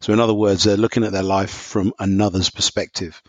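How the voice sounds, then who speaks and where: Fairly low in pitch, a man speaks with an English accent and fairly even intonation. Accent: English, non-American. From London, England. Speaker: professor. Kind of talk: casual chat.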